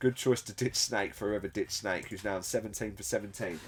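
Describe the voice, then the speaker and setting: A man talks fairly quickly while music sounds in the background. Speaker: tournament commentator. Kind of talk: live commentary.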